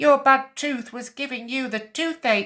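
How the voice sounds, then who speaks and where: The pitch sits high. What you hear is a put-on character voice. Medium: read story. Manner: calm, kind.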